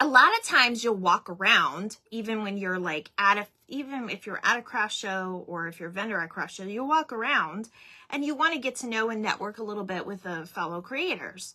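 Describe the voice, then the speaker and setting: Her tone bright, sharp and animated, a woman speaks at a moderate pace and a fairly high pitch with lively intonation and big swings in loudness. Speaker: craft channel host, small business owner. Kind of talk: casual livestream chat.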